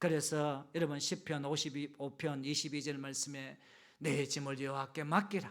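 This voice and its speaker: With a Gyeongsang accent, a man speaks at a moderate pace. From Gyeongju, Gyeongsang region, South Korea. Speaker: pastor. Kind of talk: sermon. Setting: church service with congregation.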